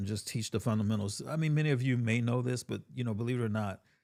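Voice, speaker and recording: Recorded very cleanly against a silent background, a man speaks in a Southern US accent. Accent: Southern US country. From US South, Georgia. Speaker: tech content creator. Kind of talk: live-stream tutorial. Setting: home studio. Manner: casual, with fillers and restarts.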